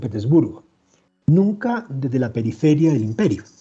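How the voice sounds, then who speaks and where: A man talks in a dark, mellow, somewhat breathy tone. He has a Chilean accent and keeps a moderate pace. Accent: Chilean, still retained. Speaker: historian and author. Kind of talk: interview. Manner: halting.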